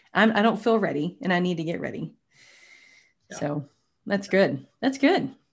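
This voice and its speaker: With an American accent, a woman speaks at a moderate pace and medium pitch, somewhat breathy, with lively intonation, big swings in loudness, and long, frequent pauses, in a very clean recording with a silent background. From Texas (Tyler, East Texas). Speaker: podcast host. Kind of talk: interview.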